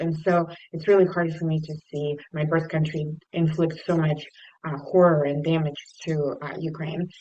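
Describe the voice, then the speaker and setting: A woman with a Russian accent has a fairly low pitch, a dark, mellow tone and fairly even intonation. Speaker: nonprofit leader. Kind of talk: talk to a service club. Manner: halting.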